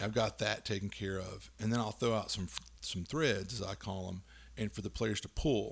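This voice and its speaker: This man talks at a moderate pace with vocal fry in a fairly low pitch. His intonation is lively. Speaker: tabletop game podcast co-host. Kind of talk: casual chat. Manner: loud, voice projects and carries; halting, many fillers.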